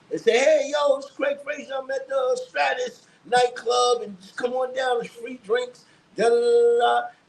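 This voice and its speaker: A man speaks with a New York accent. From New York, the Bronx. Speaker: hip hop writer and former radio DJ. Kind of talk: casual chat.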